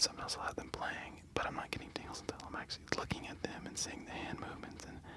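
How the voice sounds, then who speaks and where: Very fast whispering amid noticeable background noise. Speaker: ASMR creator. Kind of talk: casual talk to camera, explanatory commentary. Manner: whispered, soft.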